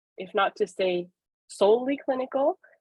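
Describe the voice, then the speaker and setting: A woman speaks in a Quebec accent. Her pitch varies in an ordinary way. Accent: Québécois French accent in English. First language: French. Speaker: professor and psychologist. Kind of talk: webinar presentation. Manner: hesitant, many fillers.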